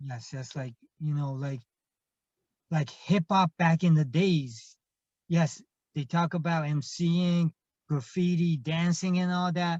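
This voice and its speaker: A man with a Japanese accent talks at a high pitch and a fairly slow pace, with ordinary pitch variation and long, frequent pauses, in a dry, close sound with no echo. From Japan (Kobe). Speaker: hip hop artist and producer. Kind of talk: interview. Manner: halting, many fillers.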